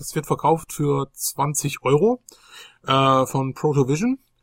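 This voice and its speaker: Recorded very cleanly against a silent background, a man speaks at a fairly high pitch with ordinary pitch variation, the sound dry and close with no echo. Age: 30s. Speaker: retro gaming podcast host. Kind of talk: casual chat. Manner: hesitant with many fillers.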